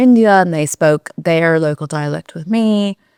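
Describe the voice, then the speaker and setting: A woman at a fairly slow pace with ordinary pitch variation, in a very clean recording with a silent background and dry, close sound free of echo. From US, Silicon Valley, California. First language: Mandarin Chinese. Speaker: fintech company founder. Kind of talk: interview. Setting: studio.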